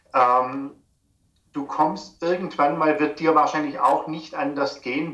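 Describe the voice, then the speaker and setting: Amid audible room echo, a man speaks at a fairly slow pace in a fairly high pitch with ordinary pitch variation. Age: 50s. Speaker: personal trainer and naturopath. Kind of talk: interview. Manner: halting.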